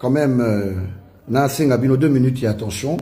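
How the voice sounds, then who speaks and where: A man speaks with a dark, mellow tone and a somewhat breathy quality. There is audible echo from the room. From DR Congo, Kinshasa. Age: 40s. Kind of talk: political statement to camera.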